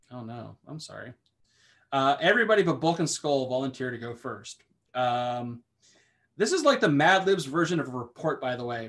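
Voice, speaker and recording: A man speaks in a plain, everyday voice, his pitch fairly high and his intonation lively. His loudness swings widely while his pace stays moderate. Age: 30s. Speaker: podcast co-host. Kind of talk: casual chat.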